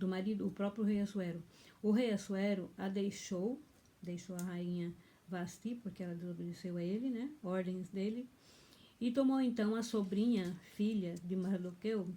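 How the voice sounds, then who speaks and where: A somewhat breathy woman's voice of medium pitch, dark and mellow in tone, at a moderate pace with ordinary pitch variation. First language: German (now dominant) (speaking Portuguese). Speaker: pastor. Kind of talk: bible teaching, partly reading aloud. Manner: halting.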